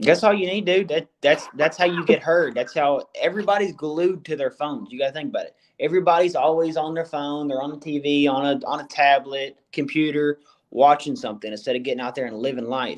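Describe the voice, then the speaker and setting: Using a plain, everyday voice, a man speaks at a fairly quick pace with hardly any pauses, in a fairly high pitch with ordinary pitch variation and big swings in loudness. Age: 20s. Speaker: comedy video creator and musician. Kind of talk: casual podcast chat. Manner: casual, filler-heavy.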